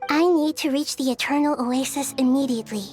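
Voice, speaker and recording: A female-sounding voice performs a cartoonish character in a high pitch. Clear music plays in the background. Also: fairly quick pace. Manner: gentle, earnest.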